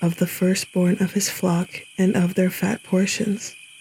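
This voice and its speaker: A woman with a medium pitch talks fairly slowly while noticeable background noise carries on. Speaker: Bible reader. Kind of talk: scripture reading. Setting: night nature sounds in background.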